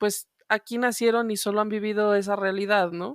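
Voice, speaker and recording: A woman with a Guanajuato accent talks at a moderate pace. The recording is very clean, dry and close, with a silent background and no echo. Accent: Mexican regional accent from León, noticeable. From Mexico, León, Guanajuato. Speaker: podcast co-host. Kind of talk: casual chat.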